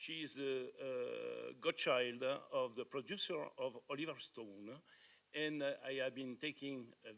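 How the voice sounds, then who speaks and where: Speaking at a moderate pace, a man with a fairly high pitch talks in a French accent. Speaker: conference speaker, author. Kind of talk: conference presentation. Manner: halting.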